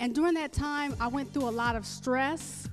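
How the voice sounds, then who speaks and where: Against background music, a woman speaks at a high pitch with fairly even intonation. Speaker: holistic doctor and health educator. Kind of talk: casual interview answer telling personal story.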